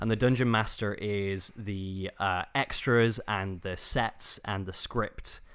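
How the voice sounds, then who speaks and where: On a very clean recording with a silent background, a man with a fairly low pitch speaks at a very slow pace with hardly any pauses and fairly even intonation. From England, Stoke-on-Trent. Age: 20s. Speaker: dungeon master. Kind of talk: casual interview.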